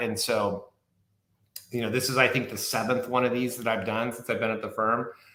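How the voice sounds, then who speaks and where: Audible room echo surrounds a man with an American accent who speaks in a monotone, flat way. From Southern California. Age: 50s. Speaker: wine expert and author. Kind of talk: casual chat.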